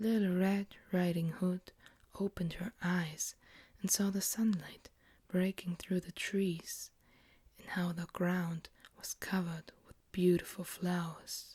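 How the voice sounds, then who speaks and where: Soft-spoken, the speaker talks at a very slow pace. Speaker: ASMR creator. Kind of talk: ASMR bedtime story reading.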